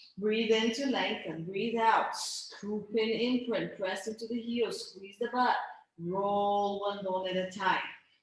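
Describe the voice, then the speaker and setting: There is audible room echo as a woman talks at a fairly slow pace with ordinary pitch variation. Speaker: pilates instructor. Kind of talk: guided exercise class. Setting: video call. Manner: stuttering.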